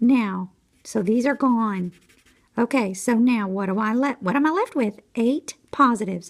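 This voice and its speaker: The voice is quiet, with ordinary pitch variation and a moderate pace. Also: woman. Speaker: math teacher. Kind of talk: tutorial. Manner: quiet, trying to speak louder.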